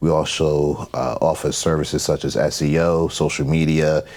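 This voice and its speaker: Noticeable background noise runs behind a man with an American accent. His very deep, low voice stays monotone, with flat intonation. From New York, Long Island. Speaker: digital marketing agency owner. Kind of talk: podcast interview.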